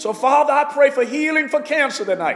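This man's speech comes with noticeable background noise. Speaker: pastor. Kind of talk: fervent intercessory prayer and healing declarations. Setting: online broadcast to listeners at home. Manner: impassioned, urgent, exhorting, pleading and proclaiming with rising intensity; repetitive, rhythmic, call-and-response style with commanding declarations.

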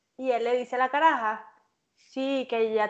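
Against a quiet background, a woman speaks in a high voice at a fairly slow pace with ordinary pitch variation. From Venezuela, Maturín. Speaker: podcast guest. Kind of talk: casual chat.

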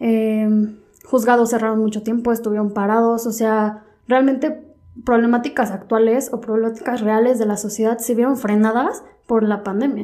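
Her pitch is fairly high, and her intonation stays monotone and flat. The woman keeps a moderate pace. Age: 20s. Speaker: law student. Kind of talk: casual chat.

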